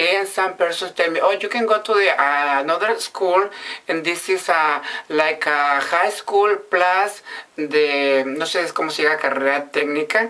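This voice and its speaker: With a Mexican accent, the speaker goes at a moderate pace against noticeable background noise. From Mexico, Sinaloa. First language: Spanish. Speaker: vlogger. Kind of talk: casual monologue in learner English. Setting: bathroom. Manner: halting.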